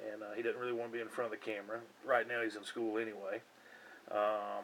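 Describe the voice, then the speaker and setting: A man speaks in a Southern US accent. His pitch is medium and his tone is relaxed. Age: 40s. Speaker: hobbyist vlogger. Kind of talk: casual chat. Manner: relaxed, hesitant with fillers.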